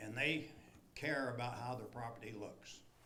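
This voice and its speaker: A man talks fairly slowly, and audible room echo surrounds his voice. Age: 80s+. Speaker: resident speaking at public hearing. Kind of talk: public comment at council meeting. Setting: city council meeting.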